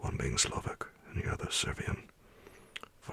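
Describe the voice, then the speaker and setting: Fairly slow whispering in a calm tone amid noticeable background noise. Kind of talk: ASMR bedtime story reading of a classic gothic novel. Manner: soft, calm, relaxing.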